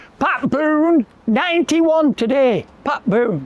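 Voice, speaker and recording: With a Lancashire accent, a man speaks at an extremely high pitch, the sound dry and close with no echo. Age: 80s+. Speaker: local historian and tour guide. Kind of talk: outdoor walking tour storytelling. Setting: outdoors.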